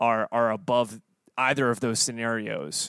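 A man with an American accent speaks at a fairly slow pace in a plain, everyday voice, his medium pitch held to fairly even intonation, on a very clean recording with a silent background and a dry, close sound with no echo. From US South. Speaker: podcast host, musician. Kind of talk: casual chat.

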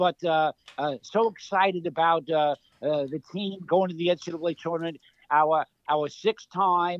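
A man speaks with a New York accent. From New York City (Queens). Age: 70s. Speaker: retired college basketball coach. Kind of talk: interview.

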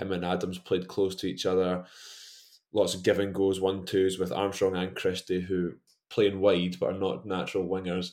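A man with a Scottish accent talks at a moderate pace. His pitch is very deep and low, and his intonation is monotone and flat. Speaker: football fan pundit. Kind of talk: casual chat.

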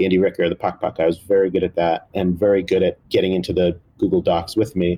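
With an American accent, a man talks very fast in a very deep, low voice, hardly pausing, his loudness very even and his intonation monotone and flat. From New Jersey. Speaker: cookbook co-author and food writer. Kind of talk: interview conversation.

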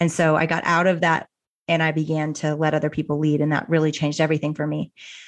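The speaker has an American accent, heard over a quiet background. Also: woman. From US South, Arkansas. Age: 40s. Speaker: author and ministry founder. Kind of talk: interview conversation.

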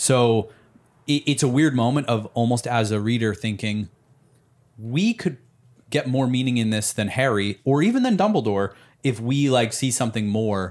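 A man with a normal speaking voice talks at a moderate pace and medium pitch, with ordinary pitch variation. His loudness stays very even on a very clean recording with a silent background. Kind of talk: casual chat.

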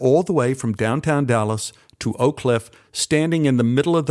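Here the speaker is plainly reading aloud.

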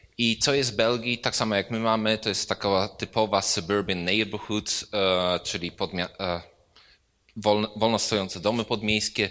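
A man's bright, sharp tone at a fairly low pitch and a moderate pace. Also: fairly even intonation. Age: 30s. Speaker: architect. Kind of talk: lecture.

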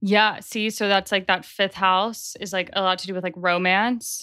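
A plain, everyday voice from a woman, medium-pitched, at a fairly quick pace with fairly even intonation, on a very clean recording with a silent background. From US South, Nashville, Tennessee. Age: 20s. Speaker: astrologer. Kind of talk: casual interview chat.

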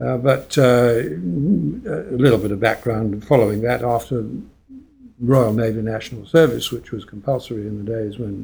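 Someone with a British accent speaks at a moderate pace in a somewhat breathy voice with ordinary pitch variation. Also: man. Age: 70s. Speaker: coffee quality control expert. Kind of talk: casual chat.

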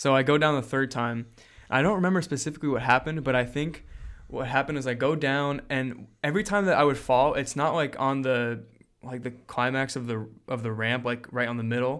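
On a very clean recording with a silent background, a man talks at a fairly quick pace in an ordinary speaking voice, medium in pitch with ordinary pitch variation. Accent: American. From New Jersey, US. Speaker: podcast host. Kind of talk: casual chat.

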